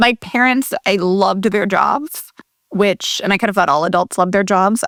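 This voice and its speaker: A woman with vocal fry talks at a medium pitch and ordinary pitch variation, in a dry, close sound with no echo. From US Midwest (Columbus, Ohio). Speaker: tech company CEO and co-founder. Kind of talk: interview.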